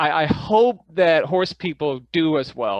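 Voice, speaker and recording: In a Danish accent, a man speaks with ordinary pitch variation, the sound dry and close with no echo against a quiet background. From Denmark. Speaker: parasitologist and filmmaker. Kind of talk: interview. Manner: halting.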